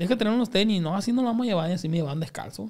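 Against a quiet background, a man talks in a high pitch with ordinary pitch variation. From Culiacán, Sinaloa, Mexico; Sinaloa, Mexico. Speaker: comedian; podcast guest. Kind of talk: casual chat. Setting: studio. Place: studio. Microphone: studio mic.

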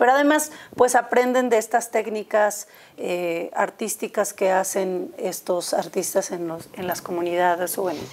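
A woman speaks with lively intonation. Her pace is fairly slow. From Mexico. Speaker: museum educator. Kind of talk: studio interview. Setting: studio. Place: studio. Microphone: lapel.

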